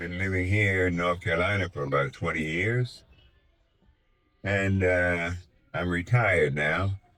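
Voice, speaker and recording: A very deep, low-pitched man at a fairly slow pace, with an American accent. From Washington DC area. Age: 80s+. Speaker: retired amateur painter. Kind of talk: interview. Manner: halting.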